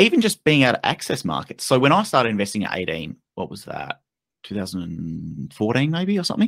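In an Australian accent, a man speaks at a very fast pace in a medium pitch with very wide pitch swings and vocal fry, in a dry, close sound with no echo. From Western Australia. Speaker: investment content creator. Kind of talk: casual chat.

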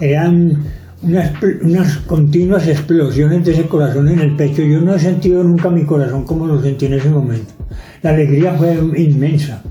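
A man speaks at a moderate pace with a fairly high pitch, very even loudness, and fairly even intonation, over noticeable background noise and audible room echo. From Antioquia, Colombia. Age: 80s+. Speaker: retired photographer. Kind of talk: life story interview. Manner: halting, with fillers and restarts.

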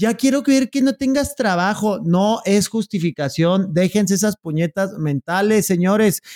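In a northern Mexican accent, a man with a high pitch and lively intonation speaks at a fairly slow pace with hardly any pauses and very even loudness, the sound dry and close with no echo. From Chihuahua, northern Mexico. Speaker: podcast co-host. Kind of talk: comedic news commentary.

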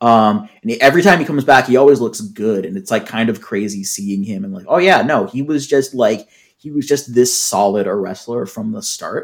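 A man with an American accent and an ordinary speaking voice, medium pitch, lively intonation, big swings in loudness and hardly any pauses. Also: moderate pace. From US Pacific Northwest, Seattle. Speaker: wrestling podcast co-host. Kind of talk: casual chat.

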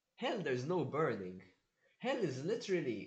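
The voice is somewhat breathy and moves at a moderate pace amid audible room echo. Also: man. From Malta. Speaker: veterinary student. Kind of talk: casual chat.

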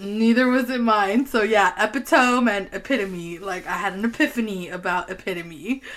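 A woman's animated voice at medium pitch and moderate pace, with hardly any pauses, ordinary pitch variation and noticeable background noise. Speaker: podcast co-host. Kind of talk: casual chat. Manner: giggly, animated.

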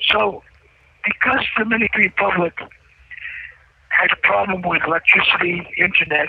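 Noticeable background noise sits behind a man who speaks at a high pitch and a moderate pace. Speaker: imprisoned guest on call-in show. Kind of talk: phone interview. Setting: phone call from prison cell.

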